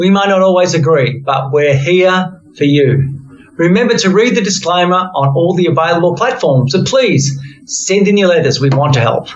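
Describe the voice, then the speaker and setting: In an Australian accent, a man with a high voice talks at a moderate pace, his intonation lively and his loudness very even. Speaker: podcast host. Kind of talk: podcast conversation.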